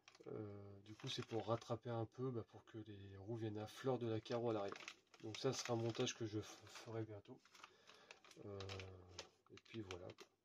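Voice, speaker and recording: Speaking at a moderate pace with long, frequent pauses, a man keeps a fairly low pitch and a monotone, flat intonation. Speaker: RC hobby YouTuber. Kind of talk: unboxing video. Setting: at home at night. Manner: hesitant, many fillers.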